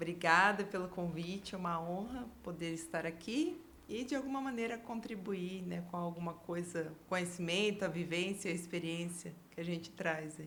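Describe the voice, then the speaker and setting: Hardly pausing, a woman talks at a fairly low pitch with ordinary pitch variation. Audible room echo surrounds her voice. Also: moderate pace. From Brazil, Bauru (São Paulo state). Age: 40s. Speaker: career consultant. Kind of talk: podcast interview.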